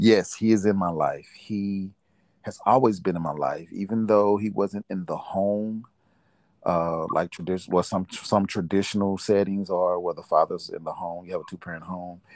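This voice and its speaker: In a very clean recording with a silent background, a man talks at a moderate pace in a fairly low voice with fairly even intonation. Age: 40s. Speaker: father and aspiring minister. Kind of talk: casual interview. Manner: halting.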